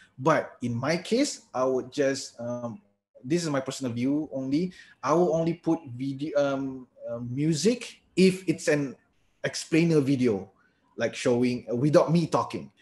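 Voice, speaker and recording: A man with a Malaysian accent, fairly high pitch, ordinary pitch variation and a fairly slow pace. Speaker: lecturer giving a webinar. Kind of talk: webinar Q&A.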